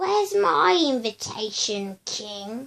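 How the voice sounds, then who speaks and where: A woman puts on a character voice, fairly high in pitch and very slow. Hissing can be heard. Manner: hissing, menacing.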